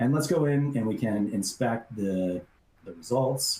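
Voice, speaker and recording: A man's somewhat breathy, dark, mellow voice at a fairly slow pace, with ordinary pitch variation. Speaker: software product presenter. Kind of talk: webinar software demo. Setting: online webinar. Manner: hesitant fillers.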